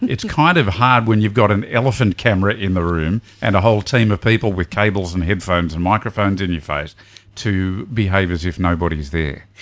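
Noticeable background noise behind a man with an Australian accent, his fairly low pitch showing ordinary variation at a fairly quick pace. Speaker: podcast co-host. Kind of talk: casual chat.

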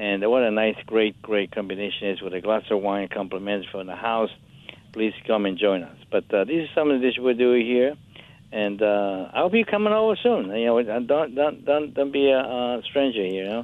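A man with an Italian accent at medium pitch, moderate pace and ordinary pitch variation. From Italy, Capri. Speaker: chef. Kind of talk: casual chat.

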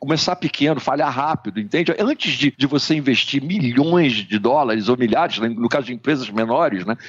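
Lively intonation runs through this man's speech. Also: dry, close sound with no echo. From Brazil, Rio de Janeiro. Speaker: digital strategy consultant. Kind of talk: interview. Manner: halting, many fillers.

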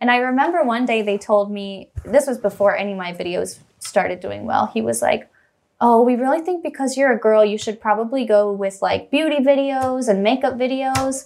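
A woman with a fairly high pitch uses a normal speaking voice with ordinary pitch variation. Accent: American. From US Midwest, Missouri. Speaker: rapper and YouTuber. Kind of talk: casual chat. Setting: studio. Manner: fast.

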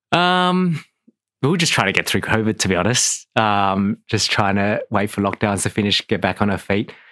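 A man in an Australian accent talks at a moderate pace with lively intonation, a fairly low pitch and a bright, sharp tone. His loudness stays very even on a very clean recording with a silent background. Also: dry, close sound with no echo. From Australia (Adelaide). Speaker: restaurant owner. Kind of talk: interview. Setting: studio.

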